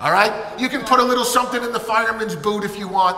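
A man speaks in a raised, projected voice amid audible room echo. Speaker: pastor. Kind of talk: church announcements. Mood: warm, upbeat. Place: church. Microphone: headset.

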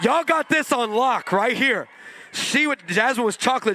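With an American accent, a man uses a raised, projected voice at extremely high pitch. His tone is animated and playful. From California. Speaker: pastor. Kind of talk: sermon; comedic storytelling sermon, crowd call-and-response. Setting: stage with audience. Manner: animated, playful, loud preacher working the crowd; loud, high-energy. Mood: humorous. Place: church. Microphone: handheld.

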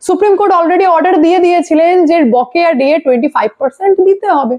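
A woman talks fast in an extremely high pitch with ordinary pitch variation. Her tone is slightly mellow.

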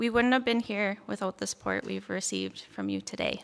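A woman with a Canadian accent at a moderate pace. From Red Deer, Alberta; Alberta, Canada. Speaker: nursing graduate. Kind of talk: valedictory speech. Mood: grateful, warm. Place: stage. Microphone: podium.

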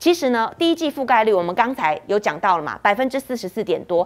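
A woman with a Taiwanese accent talks with very wide pitch swings. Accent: Taiwanese Mandarin. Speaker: TV news talk show host. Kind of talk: political talk show. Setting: studio. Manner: animated. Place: studio. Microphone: handheld.

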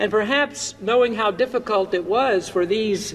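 A man talks in a high-pitched voice. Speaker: pastor. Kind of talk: sermon. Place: church. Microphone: headset.

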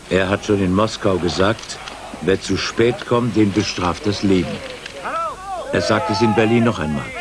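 A man's fairly low, slow voice with ordinary pitch variation and long, frequent pauses, amid noticeable background noise. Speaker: news review narrator. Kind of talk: scripted news-review narration, 1989 TV retrospective. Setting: studio voice-over. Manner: clipped, dry, sardonic, punchy staccato.

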